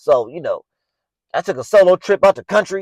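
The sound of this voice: A man with a high pitch talks at a moderate pace. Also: dry, close sound with no echo.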